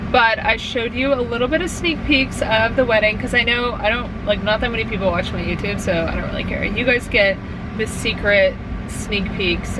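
There is noticeable background noise behind this woman. She keeps a moderate pace and her pitch varies in an ordinary way. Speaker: vlogger. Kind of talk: casual vlog chat. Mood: chatty, slightly worried. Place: car. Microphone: phone near.

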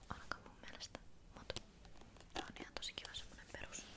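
A woman is whispering. Her pace is fairly quick. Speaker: ASMR content creator. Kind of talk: casual talk to camera, shopping haul. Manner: soft, whispery. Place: home room.

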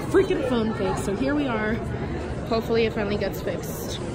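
A woman speaks at a fairly quick pace. Crowd noise can be heard behind her. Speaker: vlogger. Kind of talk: casual vlog chat. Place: cafe. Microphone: phone near.

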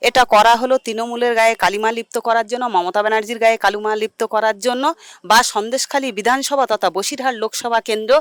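Recorded very cleanly against a silent background, a woman speaks with a fairly high pitch and fairly even intonation in an ordinary speaking voice, the sound dry and close with no echo. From Sandeshkhali, West Bengal. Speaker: local resident. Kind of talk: street interview.

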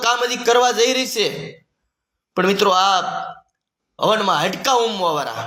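In a raised, projected voice with a bright, sharp tone and ordinary pitch variation, a man speaks amid audible room echo. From Gujarat, Rajkot district (Saurashtra). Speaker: community activist. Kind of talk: monologue to camera. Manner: animated.

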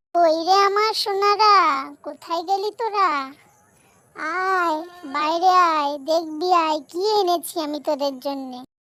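In a cartoonish character voice, a female-sounding speaker talks at a fairly slow pace with an extremely high pitch. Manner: motherly, caring.

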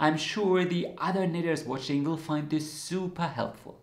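There is audible room echo around this man's voice. He speaks at a moderate pace, his intonation fairly even. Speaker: knitting channel host. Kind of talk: explainer to camera. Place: home room.

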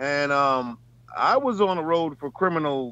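A man with a New York accent speaks at a fairly high pitch. The sound is dry with no echo. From Bronx, New York. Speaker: truck driver; panelist. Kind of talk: casual chat. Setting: video call from his truck. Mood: candid, animated. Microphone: video call.

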